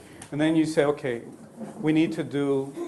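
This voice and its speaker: At a fairly quick pace and with fairly even intonation, a man talks amid audible room echo and noticeable background noise. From Colombia. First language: Spanish. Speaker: neonatologist lecturer. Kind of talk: lecture. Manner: halting.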